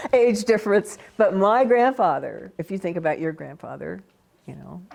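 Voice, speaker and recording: Speaking at a moderate pace, a woman with an American accent uses a medium pitch with very wide pitch swings and vocal fry. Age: 70s. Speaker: felt artist and teacher. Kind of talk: oral history interview.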